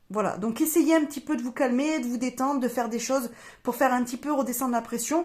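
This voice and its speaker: Speaking at a very fast pace, a woman holds a high pitch with fairly even intonation. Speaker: tarot reader and medium. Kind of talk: astrology reading / guidance monologue. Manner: hesitant, many fillers.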